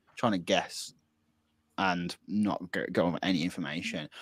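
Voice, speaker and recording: Mumbling in a Birmingham accent, a man is heard in a very clean recording with a silent background and a dry, close sound with no echo. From Birmingham, England. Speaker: podcast co-host. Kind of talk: casual chat. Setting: live-streamed podcast.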